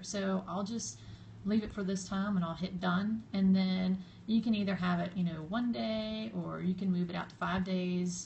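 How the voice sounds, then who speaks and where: A woman in a Southern US accent, somewhat breathy, with a medium pitch, lively intonation, and a moderate pace. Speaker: social media blogger. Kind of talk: live stream tutorial. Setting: live stream video. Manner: casual, hesitant with fillers.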